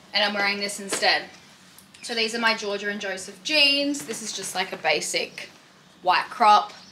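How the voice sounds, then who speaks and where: With an Australian accent, a woman speaks at a moderate pace with ordinary pitch variation and big swings in loudness over light background noise. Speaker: lifestyle vlogger; vlogger. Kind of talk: casual vlog. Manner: casual, filler-heavy.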